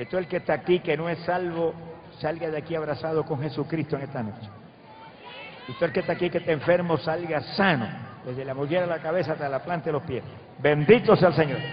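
Against noticeable background noise, a man talks very fast with ordinary pitch variation. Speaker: preacher. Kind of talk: sermon prayer. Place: stage. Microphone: handheld.

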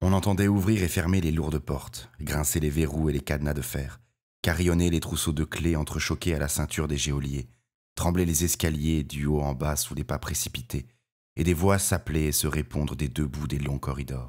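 A man speaks in a very deep, low voice with vocal fry and a theatrical tone. His intonation remains fairly even. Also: moderate pace. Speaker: audiobook narrator. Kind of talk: dramatic audiobook narration, read aloud with character voices. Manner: theatrical, expressive, varying tone for each character; measured, gravely paced storytelling.

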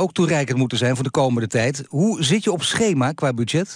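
A man with an ordinary speaking voice talks at a moderate pace. His pitch is fairly high and varies in an ordinary way. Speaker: radio news presenter. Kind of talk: radio interview host.

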